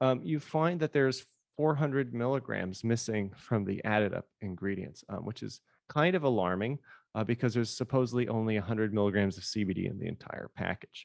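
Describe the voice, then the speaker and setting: In a dry, close recording with no echo, a man at a medium pitch talks fairly quickly with lively intonation. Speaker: cannabis researcher, invited speaker. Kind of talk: lecture. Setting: video call. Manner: fast.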